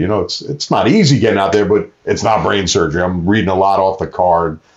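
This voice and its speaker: Speaking at a fairly quick pace, a man uses lively intonation. His voice is fairly low, with an American accent. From New York. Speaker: ring announcer and actor. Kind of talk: casual interview chat.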